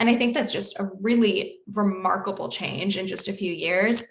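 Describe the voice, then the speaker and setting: A woman speaks in a Canadian accent at a medium pitch. Hers is a plain, everyday voice. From Canada, Toronto. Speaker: environmental communications officer. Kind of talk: webinar panel discussion.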